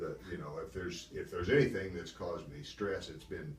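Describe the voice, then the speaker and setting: In an American accent, a man speaks at a moderate pace amid audible room echo. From Wisconsin, US Midwest. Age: 70s. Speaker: Air Force veteran, banker. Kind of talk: oral history interview. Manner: halting.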